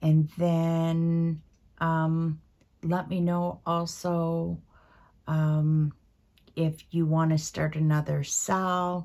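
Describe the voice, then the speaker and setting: Very slowly and with long, frequent pauses, a woman speaks in a dark, mellow tone. Her fairly low voice stays monotone and flat. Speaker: craft video creator. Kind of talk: casual stitch-along chat. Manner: soft-spoken; hesitant, many fillers.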